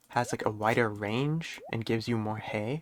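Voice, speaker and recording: Soft-spoken, a man talks at a fairly slow pace with fairly even intonation. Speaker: gaming streamer. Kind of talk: gameplay commentary. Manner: quiet, talking softly.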